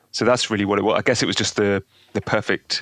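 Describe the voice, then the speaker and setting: A man with an English accent talks at a very fast pace and a fairly low pitch, his intonation flat and monotone. The sound is dry and close with no echo. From England, London. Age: 30s. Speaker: guitar pedal builder. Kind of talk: casual interview chat.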